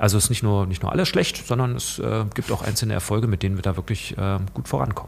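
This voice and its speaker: A man speaks very fast with lively intonation and a fairly low pitch. Noticeable background noise sits behind him. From Saxony-Anhalt, eastern Germany. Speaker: politician and works council chair. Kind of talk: casual interview. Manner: halting, many fillers.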